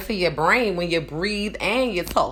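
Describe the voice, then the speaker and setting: Using lively intonation, a woman with a New Orleans accent speaks at a fairly slow pace. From New Orleans, Louisiana. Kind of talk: casual live stream talk to camera. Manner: rambling, conversational.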